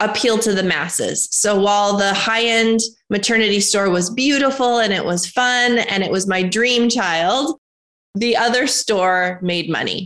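Speaking at a moderate pace with very even loudness, a woman with an American accent has an unremarkable speaking voice and a fairly high pitch. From US Midwest (North Dakota). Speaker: entrepreneur. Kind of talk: interview.

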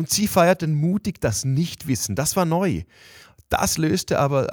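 A man talks at a fairly slow pace with lively intonation in an ordinary speaking voice. The recording is very clean, with a silent background and a dry, close sound with no echo. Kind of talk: interview.

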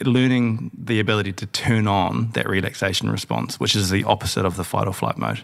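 At a moderate pace, a man with a New Zealand accent speaks at a fairly low pitch with ordinary pitch variation and vocal fry. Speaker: podcast host and founder. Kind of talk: casual chat.

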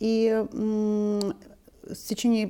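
The woman's voice has a dark, mellow tone and sits at a medium pitch. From Donbas, eastern Ukraine. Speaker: founder of a cultural foundation. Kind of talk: interview.

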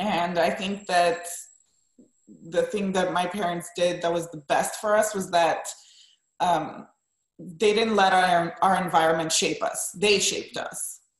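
Speaking in a Romanian accent, a woman delivers monotone, flat intonation at a fairly low pitch and fairly slow pace, with long, frequent pauses. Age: 30s. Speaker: wedding and portrait photographer. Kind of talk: interview.

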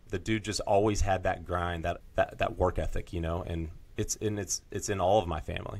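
A somewhat breathy man speaks at a fairly quick pace. His voice is very deep and low, with fairly even intonation. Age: 30s. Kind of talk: casual chat.

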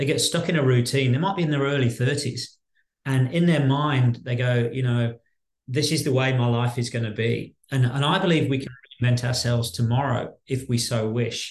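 This man's somewhat breathy voice sits at a medium pitch, with fairly even intonation and a moderate pace. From Birmingham, West Midlands, England. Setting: video call from Australia.

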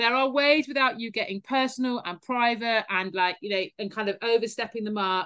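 This woman has a British accent. Her voice sits fairly high, with ordinary pitch variation. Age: 40s. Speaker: fitness educator and former elite rower. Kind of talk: interview conversation.

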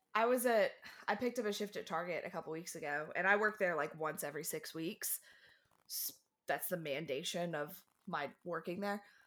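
In an unremarkable speaking voice, a woman talks at a fairly quick pace with fairly low pitch and ordinary pitch variation. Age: 20s. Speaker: podcast guest. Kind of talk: casual chat.

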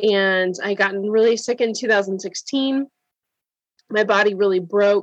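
A woman with an ordinary speaking voice talks at a medium pitch and a fairly slow pace, her intonation fairly even. Her loudness stays very even, and the sound is dry and close with no echo. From Wisconsin, US Upper Midwest. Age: 30s. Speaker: functional nutrition practitioner and coach. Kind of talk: interview conversation.

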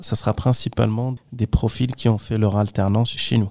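A man speaks at a fairly slow pace and medium pitch in a dark, mellow tone with fairly even intonation. The sound is dry and close with no echo, on a very clean recording with a silent background. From Morocco, Kenitra. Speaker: technical property manager. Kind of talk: interview. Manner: hesitant.

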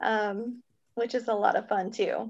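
A woman with an American accent against a quiet background. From US South, Kentucky and upstate South Carolina. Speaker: travel agent, guest. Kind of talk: casual chat.

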